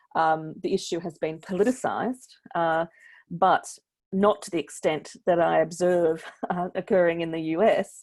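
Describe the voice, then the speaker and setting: A woman with an Australian accent speaks at a fairly low pitch with fairly even intonation. Her loudness swings widely on a very clean recording with a silent background. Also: moderate pace. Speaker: NGO researcher panelist. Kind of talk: panel discussion.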